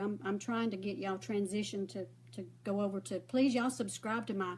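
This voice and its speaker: Fairly quick speech in a Southern US accent. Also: woman. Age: 60s. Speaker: makeup vlogger. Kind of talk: casual chat. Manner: rambling, conversational.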